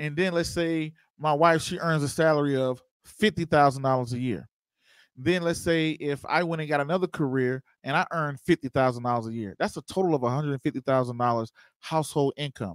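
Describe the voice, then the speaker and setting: An animated man at a fairly quick pace, with ordinary pitch variation, a dry sound with no echo, and a quiet background. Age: 30s. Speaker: investing show host. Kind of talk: livestream tutorial. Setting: live stream. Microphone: handheld.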